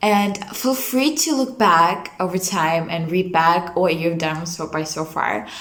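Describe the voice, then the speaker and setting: A woman's medium-pitched voice with a non-native accent, at a fairly slow pace, amid noticeable background noise and audible room echo. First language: not English. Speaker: vlogger. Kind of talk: casual talk to camera. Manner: hesitant fillers.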